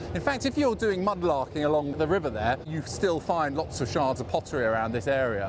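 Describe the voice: A man talks at a fairly quick pace and a fairly high pitch, with lively intonation. Background noise is clearly heard.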